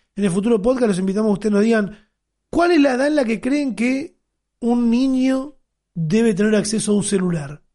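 A man's high, dark and mellow voice, fairly quick, with lively intonation and very even loudness. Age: 30s. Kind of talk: casual chat.

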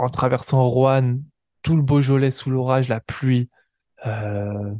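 This man talks at a very slow pace. He takes his time with every word. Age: 20s. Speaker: podcast host and ultra-distance cyclist. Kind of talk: casual monologue. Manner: hesitant, with many fillers.

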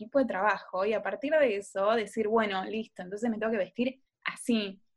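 A woman speaks in an unremarkable speaking voice at a fairly high pitch. Her pace is moderate and her pitch variation ordinary. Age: 20s. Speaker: podcast co-host. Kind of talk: casual chat.

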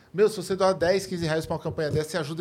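The recording is very clean with a silent background. A man speaks in a high pitch. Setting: studio.

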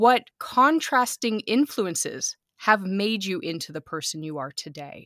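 In a very clean, silent recording with a dry, close sound and no echo, a woman speaks in a bright, sharp tone with very wide pitch swings. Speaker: podcast host. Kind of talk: interview conversation.

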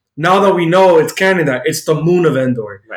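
A man talks at a fairly quick pace with an American accent, in an ordinary speaking voice. His pitch varies in an ordinary way. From United States. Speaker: podcast co-host. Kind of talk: casual chat.

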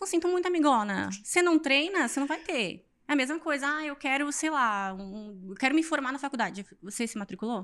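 Pitch swings very widely at a fairly quick pace with hardly any pauses, on a very clean recording with a silent background. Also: woman, high pitch for a woman. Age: 20s. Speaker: fitness influencer and physical education graduate. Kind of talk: casual interview chat. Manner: animated.

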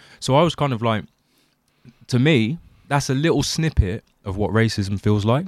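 Long, frequent pauses break up a man's speech in a southern English accent. He keeps a moderate pace with lively intonation. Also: medium pitch for a man. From England (Windsor area). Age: 30s. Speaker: podcast host. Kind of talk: casual chat. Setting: video call.

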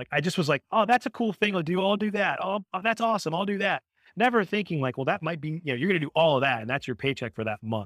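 Speaking at a very fast pace, a man with an American accent barely pauses. His high pitch makes very wide swings. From US Northeast (Boston, Massachusetts). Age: 40s. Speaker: sports author. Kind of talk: casual interview conversation.

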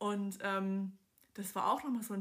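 Somewhat breathy at a medium pitch, a woman speaks with a slight Swabian accent. She keeps a moderate pace. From southern Germany, Swabia. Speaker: podcast host, life coach. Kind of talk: casual monologue. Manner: animated.

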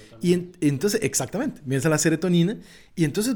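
With a Costa Rican accent, a man speaks at a very fast pace. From Costa Rica, Pacific coast (Esparza). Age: 20s. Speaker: nature photographer. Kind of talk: interview conversation.

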